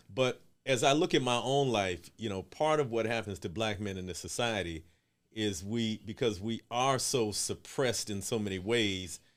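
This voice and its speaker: An ordinary speaking voice comes through a very clean recording with a silent background, at a moderate pace with ordinary pitch variation. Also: man, fairly low pitch for a man. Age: 60s. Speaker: community organization director. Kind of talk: casual chat.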